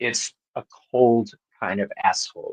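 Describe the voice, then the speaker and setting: Recorded with a dry, close sound with no echo, a man speaks at a very slow pace. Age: 50s. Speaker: tarot reader. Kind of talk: tarot reading on live panel.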